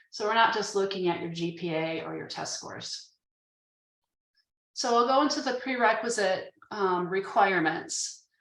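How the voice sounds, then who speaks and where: Medium in pitch, a woman's voice moves at a moderate pace with ordinary pitch variation. Room echo is audible. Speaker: admissions staff presenter. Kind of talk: informational webinar presentation.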